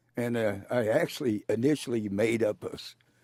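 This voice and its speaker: A man speaks in a very clean recording with a silent background and a dry, close sound that has no echo. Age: 60s. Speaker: songwriter. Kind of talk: interview conversation. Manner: halting, with fillers.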